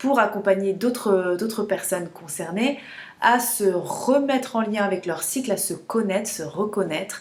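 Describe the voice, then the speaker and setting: A woman at medium pitch and a moderate pace. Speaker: menstrual cycle coach. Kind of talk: casual vlog talk to camera. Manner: hesitant, many fillers and repetitions.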